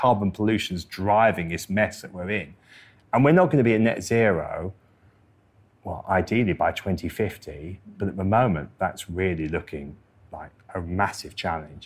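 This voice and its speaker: A man talks in a plain, everyday voice at a moderate pace, pitched fairly low with ordinary pitch variation. The recording is very clean, with a silent background. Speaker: climate scientist. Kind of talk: live interview. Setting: stage with audience.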